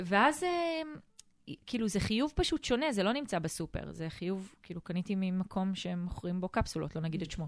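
A woman with a normal speaking voice talks at a fairly quick pace with lively intonation. Her pitch is medium, and the background is quiet. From Israel, Eilat. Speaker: family finance advisor, podcast co-host. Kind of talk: casual chat.

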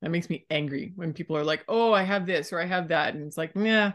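At a moderate pace, a plain, everyday voice speaks with ordinary pitch variation against a quiet background. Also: woman. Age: 40s. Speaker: personal trainer. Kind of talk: casual chat.

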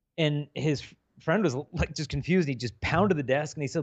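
Over a quiet background comes a normal speaking voice at a moderate pace with lively intonation. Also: man. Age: 40s. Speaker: chastity speaker. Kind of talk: podcast interview. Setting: video call.

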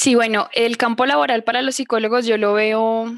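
With an unremarkable speaking voice, a woman talks at a fairly high pitch and a fairly slow pace, with ordinary pitch variation. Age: 20s. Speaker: psychologist. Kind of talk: interview.

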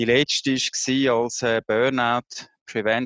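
Against a quiet background, a man speaks in a monotone, flat way, the sound dry and close with no echo. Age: 50s. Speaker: HR executive and burnout prevention coach. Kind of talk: interview. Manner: hesitant, many filler sounds.

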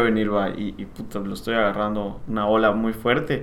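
A man speaks with audible room echo. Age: 30s. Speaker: civil engineer and property developer. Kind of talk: casual interview.

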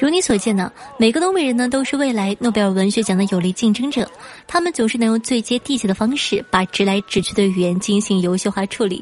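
With a fairly high pitch, a woman talks at a fairly quick pace, her intonation lively and her voice somewhat breathy. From Northeast China. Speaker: podcast host. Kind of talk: scripted monologue.

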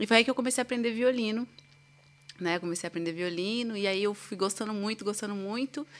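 This woman talks at a very fast pace. Her pitch is fairly high, with ordinary variation. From São Paulo, Brazil. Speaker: violinist. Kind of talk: casual interview.

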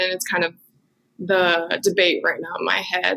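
This woman, speaking in an American accent, has a bright, sharp tone.

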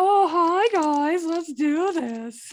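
The speaker puts on a character voice pitched extremely high. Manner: cheerful, silly.

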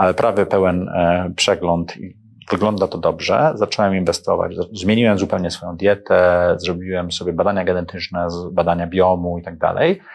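With a quiet background, a man talks at a moderate pace in a very deep, low pitch and fairly even intonation. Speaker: entrepreneur and investor. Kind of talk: interview.

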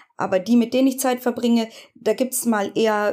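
A woman's high-pitched, dark, mellow voice at a moderate pace with fairly even intonation. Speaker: podcast co-host with long covid. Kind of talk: casual chat.

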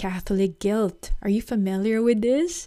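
A woman's dark, mellow tone with lively intonation. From Philippines. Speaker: podcast host and psychotherapist. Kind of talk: casual solo podcast talk.

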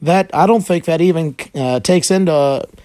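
A man with a normal speaking voice and a fairly high pitch uses lively intonation on a very clean recording with a silent background. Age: 30s. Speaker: podcaster. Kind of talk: casual monologue.

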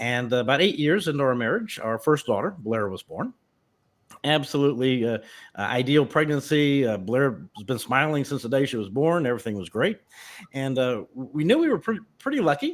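On a very clean recording with a silent background, a man with an American accent and an ordinary speaking voice talks at a moderate pace, his fairly high pitch carrying lively intonation. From US South (Memphis, Tennessee). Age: 50s. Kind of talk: personal testimony interview.

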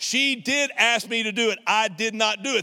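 A bright, sharp tone carries through the raised, projected voice. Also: man. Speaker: pastor. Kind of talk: sermon. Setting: church service, streamed online. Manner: blunt, not nice tone.

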